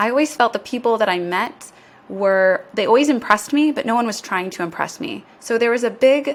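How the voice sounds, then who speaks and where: A woman with an American accent, a fairly high pitch, an ordinary speaking voice, lively intonation, and a fairly quick pace. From USA. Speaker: business school admissions director. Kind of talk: podcast interview.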